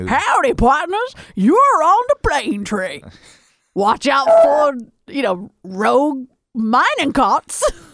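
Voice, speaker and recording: A put-on character voice, pitched high, moves at a very slow pace. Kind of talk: folksy. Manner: overly friendly, jokey.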